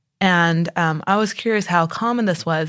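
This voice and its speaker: On a very clean recording with a silent background, a woman with a plain, everyday voice speaks at a fairly low pitch with ordinary pitch variation. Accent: American. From Texas, San Antonio. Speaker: newspaper reporter. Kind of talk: interview. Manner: casual, filler-heavy.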